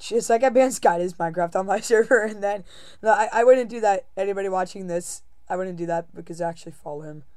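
A woman talks at a very fast pace with medium pitch and ordinary pitch variation. Her loudness swings widely. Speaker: gaming YouTuber. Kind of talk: casual gaming chat. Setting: online voice chat while recording gameplay. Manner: halting, many fillers.

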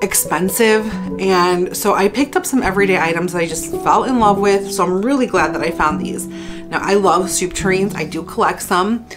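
A woman at a moderate pace with hardly any pauses, ordinary pitch variation and clear music in the background. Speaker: home decor vlogger. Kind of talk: casual haul vlog chat. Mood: cheerful, enthusiastic. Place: home room.

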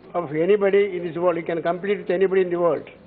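A man with a Tamil accent speaks in a high pitch. His intonation is monotone and flat, with light background noise. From Tamil Nadu. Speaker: member of parliament. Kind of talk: formal parliamentary speech. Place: hall.

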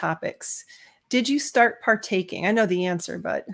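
The speaker is a woman with ordinary pitch variation. The background is quiet. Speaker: YouTube channel host. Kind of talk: live stream interview. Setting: video call. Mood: warm, friendly. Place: home room. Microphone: webcam.

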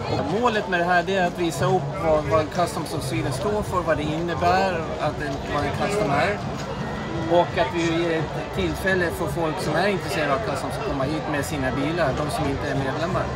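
A man at a fairly quick pace, with crowd noise in the background. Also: ordinary pitch variation. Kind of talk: interview answer. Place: street. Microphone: phone near.

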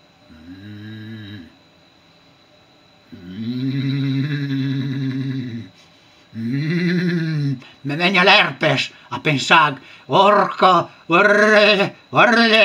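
A man does a gruff, put-on character voice at a fairly high pitch, with very wide pitch swings. He talks very slowly, with long, frequent pauses.

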